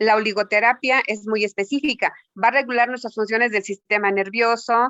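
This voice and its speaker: Pitched fairly high, a woman speaks at a moderate pace in an ordinary speaking voice. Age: 60s. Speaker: health practitioner. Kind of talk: interview.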